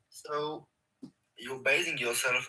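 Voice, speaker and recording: A man is talking here. His accent is non-native. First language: not English. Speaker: caller. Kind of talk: debate question.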